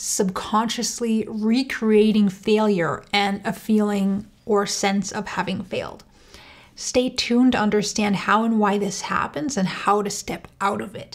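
Speaking at a fairly slow pace, a woman keeps her intonation fairly even over a quiet background. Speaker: channel host. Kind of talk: educational talk to camera. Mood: calm, warm, earnest. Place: home room.

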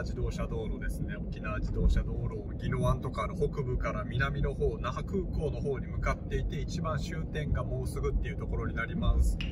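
A man in a dry sound with no echo, over loud background noise. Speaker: vlogger. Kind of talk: casual vlog chat. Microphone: phone near.

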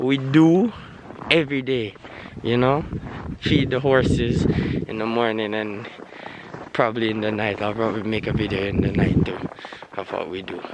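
A man at a moderate pace with long, frequent pauses and ordinary pitch variation, dry with no echo, over loud background noise. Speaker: farm vlogger. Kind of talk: casual vlog chat. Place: farm machine. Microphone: phone near.

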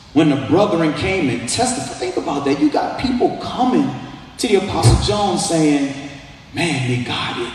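With lively intonation and a moderate pace, a man speaks amid strong room echo and light background noise. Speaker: pastor. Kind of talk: sermon. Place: hall.

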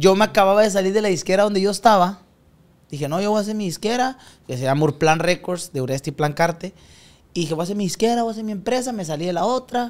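Very fast and high-pitched, a man talks with lively intonation. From Nuevo Laredo, Tamaulipas, northern Mexico; Tamaulipas, Mexico. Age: 20s. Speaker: regional Mexican singer; podcast guest. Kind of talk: casual chat. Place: studio. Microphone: studio mic.

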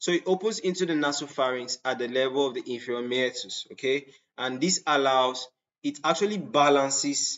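Ordinary pitch variation marks a man speaking at a moderate pace. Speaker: anatomy lecturer. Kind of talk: lecture.

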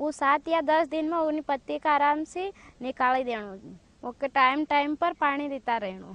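Speech at a very slow pace with ordinary pitch variation. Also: woman, high pitch for a woman, dry sound with no echo. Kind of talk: instructional explanation to peers. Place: farm machine.

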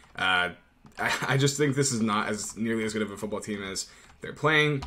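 Lively intonation from a man at a moderate pace. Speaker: betting analyst. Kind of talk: sports betting commentary. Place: home room. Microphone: webcam.

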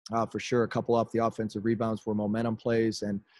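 Against a quiet background, a man talks at a very fast pace. His pitch is fairly low and his intonation monotone and flat. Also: dry sound with no echo. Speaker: basketball coach. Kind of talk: press conference answer. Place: home room. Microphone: video call.

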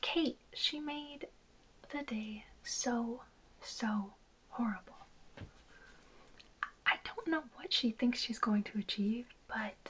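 Soft-spoken and gentle in tone, the speaker goes at a very slow pace with long, frequent pauses. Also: woman, high pitch for a woman. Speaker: makeup roleplay creator. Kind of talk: roleplay makeup chat to the viewer. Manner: soft-spoken, gentle, gossipy teen tone. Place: home room.

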